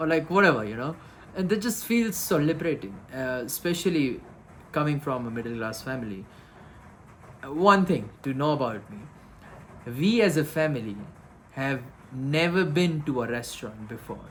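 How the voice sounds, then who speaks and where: A man speaks at a moderate pace in a fairly high voice with very wide pitch swings and long, frequent pauses. Room echo can be heard. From India, Gujarat (Rajkot). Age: 20s. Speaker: vlogger. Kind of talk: casual vlog monologue. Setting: indoors in a room in the Himalayas, rain outside. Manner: hesitant, many fillers.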